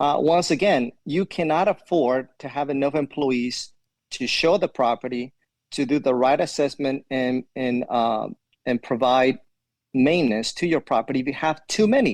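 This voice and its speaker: A man with a Spanish accent and a fairly high pitch speaks at a moderate pace with ordinary pitch variation, the sound dry and close with no echo. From Ecuador. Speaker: property manager, army veteran. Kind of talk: interview answer.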